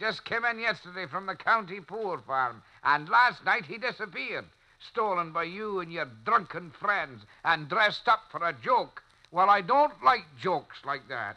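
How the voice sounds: Here a man puts on a character voice, pitched high with a bright, sharp tone. His intonation is lively. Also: fairly slow pace.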